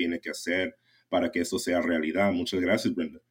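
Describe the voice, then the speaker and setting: A man speaks with a very deep, low pitch. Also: very clean recording, silent background. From US West Coast (San Jacinto Valley, California). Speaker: conservation advocate. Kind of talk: casual interview.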